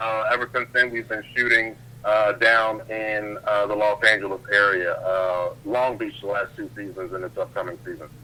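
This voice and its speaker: Amid noticeable background noise, a man speaks at a moderate pace and a medium pitch. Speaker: ring announcer and TV host. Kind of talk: interview answer. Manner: enthusiastic, upbeat.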